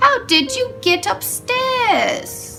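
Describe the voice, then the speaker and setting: Against clear music in the background, a woman puts on a squeaky character voice. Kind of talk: bedtime story. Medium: read story.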